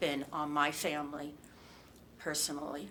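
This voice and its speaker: With an American accent, a woman speaks at a very deep, low pitch, and audible room echo surrounds her voice. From New Jersey. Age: 60s. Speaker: abuse survivor. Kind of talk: testimony. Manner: halting.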